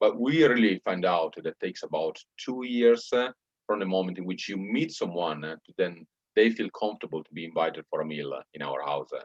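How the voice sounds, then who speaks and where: A man with a Bologna accent speaks at a fairly quick pace and fairly low pitch, with very wide pitch swings and big swings in loudness. The sound is dry and close, with no echo. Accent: Bologna Italian. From Italy, Bologna. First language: Italian. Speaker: church planter. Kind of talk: interview. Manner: hesitant, many fillers.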